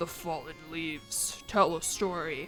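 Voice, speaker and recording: In a put-on character voice at a middle pitch, the speaker goes at a fairly slow pace while music plays clearly in the background. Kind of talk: solemn, epic narration.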